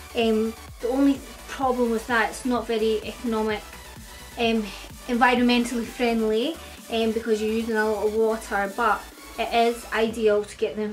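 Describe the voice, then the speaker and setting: Speaking in a Scottish accent over background music, a woman keeps a fairly high pitch and monotone, flat intonation. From Scotland. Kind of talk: beauty tutorial talk to camera. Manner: casual.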